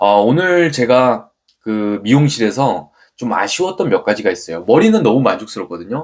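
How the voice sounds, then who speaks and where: A man at a medium pitch swings his pitch very widely while keeping a moderate pace. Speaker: business owner and channel host. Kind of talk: vlog monologue. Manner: frequent filler hesitations.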